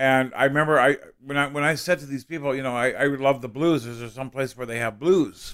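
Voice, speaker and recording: This man talks at a fairly quick pace. His pitch is medium and his intonation fairly even. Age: 30s. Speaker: comedian. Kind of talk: casual chat. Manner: halting.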